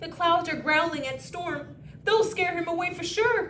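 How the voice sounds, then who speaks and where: A woman uses a put-on character voice at an extremely high pitch. Clear background noise can be heard. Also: moderate pace. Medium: read story. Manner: jittery, repeats words.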